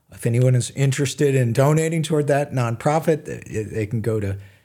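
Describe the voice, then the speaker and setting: A somewhat breathy man speaks in a dark, mellow tone with ordinary pitch variation. The recording is very clean with a silent background. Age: 70s. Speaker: physician and author. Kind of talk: interview. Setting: studio. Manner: halting, many fillers.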